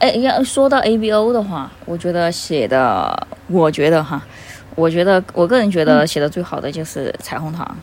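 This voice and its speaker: Her pitch is fairly low for a woman yet swings very widely as she talks at a moderate pace against noticeable background noise. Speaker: fan fiction recommender. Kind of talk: casual chat.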